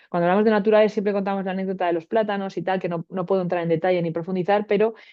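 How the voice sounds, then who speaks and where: The woman talks very fast at medium pitch. Her intonation is monotone and flat. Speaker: radiobiologist. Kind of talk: webinar lecture. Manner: hesitant fillers.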